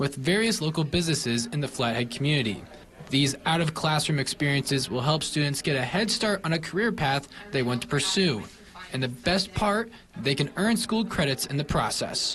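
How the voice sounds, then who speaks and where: A man with a plain, everyday voice speaks at a moderate pace with lively intonation. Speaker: TV news reporter. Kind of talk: TV news package narration.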